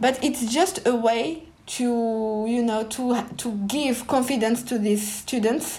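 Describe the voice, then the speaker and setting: A woman speaks in a high pitch with a French accent, her tone dark and mellow and her pitch varying in an ordinary way. She talks at a very slow pace with hardly any pauses, and the room echo is audible. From France, Paris suburbs (Pantin). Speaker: novelist. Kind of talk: interview.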